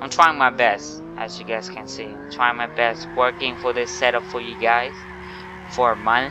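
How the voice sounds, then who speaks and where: A man with a Thai accent at medium pitch, very wide pitch swings, big swings in loudness, a moderate pace and noticeable background noise. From Thailand. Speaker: gaming YouTuber. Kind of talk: gameplay tutorial commentary. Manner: casual, halting.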